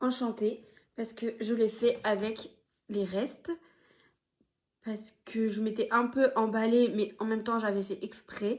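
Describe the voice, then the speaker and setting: A woman's fairly high voice, monotone and flat, at a very slow pace with long, frequent pauses. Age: 30s. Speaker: knitting podcaster. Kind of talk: casual vlog chat. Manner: hesitant, filler-heavy.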